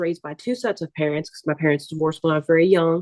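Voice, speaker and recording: A woman with a fairly low pitch speaks with a New Orleans accent. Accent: New Orleans Southern US. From US South, New Orleans, Louisiana. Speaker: artist and entrepreneur. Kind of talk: interview.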